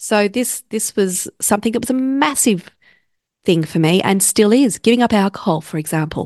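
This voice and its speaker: A woman with an Australian accent speaks at medium pitch with lively intonation. The sound is dry and close with no echo, against a quiet background. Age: 40s. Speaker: podcast host, counsellor and coach. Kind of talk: solo podcast talk.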